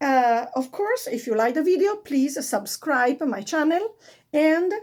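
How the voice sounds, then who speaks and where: A woman with an Italian accent speaks fairly slowly at a high pitch with very wide pitch swings, on a very clean recording with a silent background. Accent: Italian accent, non-native English. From Italy. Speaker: fashion vlogger. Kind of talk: tutorial. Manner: halting, many fillers.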